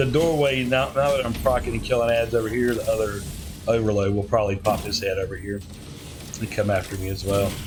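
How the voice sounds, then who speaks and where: A man talks at a very fast pace with a Southern US accent, his medium pitch showing ordinary variation. The recording carries audible room echo and noticeable background noise. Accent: Southern US, slurred. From US South. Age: old. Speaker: gaming youtuber. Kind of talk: gameplay commentary. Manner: mumbling; casual, halting.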